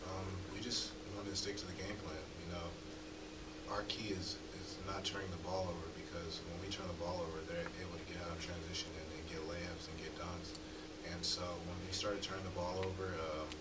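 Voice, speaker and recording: Through loud background noise, a man speaks at a fairly quick pace. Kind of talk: interview answer. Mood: subdued after a loss. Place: meeting room. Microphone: podium.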